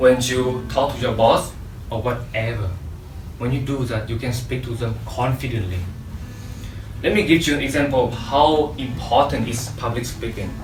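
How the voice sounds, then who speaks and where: A man with a Vietnamese accent and a medium-pitched voice speaks at a moderate pace, with ordinary pitch variation and long, frequent pauses. Audible room echo and noticeable background noise fill the recording. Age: young. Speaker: motivational public speaker. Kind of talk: motivational talk. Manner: animated.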